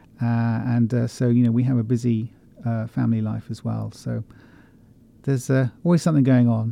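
A man talks at a moderate pace in a dark, mellow tone, with medium pitch and fairly even intonation. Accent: southern English. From England, West Country. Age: 50s. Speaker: author and bookshop owner. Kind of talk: interview. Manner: halting, many fillers.

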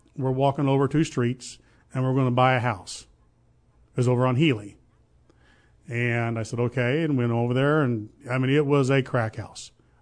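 With a Southern Illinois accent, a man at medium pitch speaks at a moderate pace with fairly even intonation and long, frequent pauses. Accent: southern Illinois rural. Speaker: real estate business owner. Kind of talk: interview.

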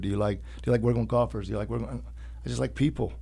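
With an American accent, a man speaks in a very deep, low voice with a dark, mellow tone and vocal fry. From Urbana, Illinois. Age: young. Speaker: personal trainer. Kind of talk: interview.

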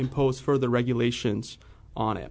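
Medium-pitched and fairly even in intonation, a man speaks with a Midwestern American accent. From US Midwest, central Illinois. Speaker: financial analyst. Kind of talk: radio interview.

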